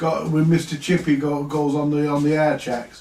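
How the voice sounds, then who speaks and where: A man keeps a moderate pace as noticeable background noise runs underneath. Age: 60s. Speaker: vintage audio repair livestreamer. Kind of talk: casual live stream chat. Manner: halting, repetitive.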